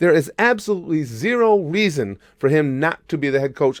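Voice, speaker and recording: A man talks at a fairly quick pace in an animated tone with lively intonation. The recording is very clean and dry, close-miked with no echo and a silent background. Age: 60s. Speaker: sports YouTuber. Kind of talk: opinion vlog. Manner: halting.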